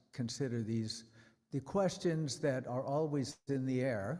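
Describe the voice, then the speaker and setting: Here a man talks at a medium pitch with ordinary pitch variation and a dark, mellow tone. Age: 80s+. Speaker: preacher. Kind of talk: sermon. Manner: conversational, humorous asides.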